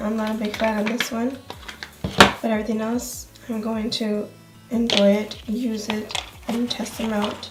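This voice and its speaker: Music plays in the background as a woman speaks fairly slowly with long, frequent pauses. Her voice is fairly high and monotone, with flat intonation. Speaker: beauty blogger. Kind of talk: casual unboxing review to camera.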